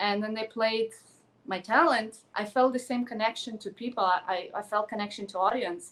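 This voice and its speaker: A woman with a Ukrainian accent, fairly high in pitch, with ordinary pitch variation at a moderate pace. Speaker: actress and pageant contestant. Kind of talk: interview. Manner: animated.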